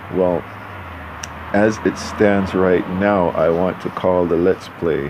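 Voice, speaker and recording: Background noise is noticeable as a man speaks at a fairly slow pace. His pitch is very deep and low, with fairly even intonation. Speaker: gaming YouTuber. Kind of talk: gameplay commentary. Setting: home recording with headphones. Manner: rambling; repetitive.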